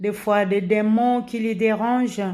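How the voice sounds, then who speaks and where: A very slow woman's voice with a Congolese accent, dark and mellow in tone, flat and monotone throughout. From DR Congo. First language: Lingala (speaking French). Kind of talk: religious exhortation, informal preaching. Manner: halting, many hesitations and repetitions.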